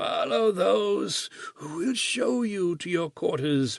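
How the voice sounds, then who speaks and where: Using a put-on character voice, a man speaks at a very slow pace and a high pitch. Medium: read story. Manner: curt, menacing.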